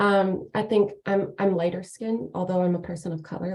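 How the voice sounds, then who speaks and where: A woman with a dark, mellow tone talks at a moderate speed, somewhat breathy and fairly even in her intonation. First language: not English. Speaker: workshop participant. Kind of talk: online workshop sharing.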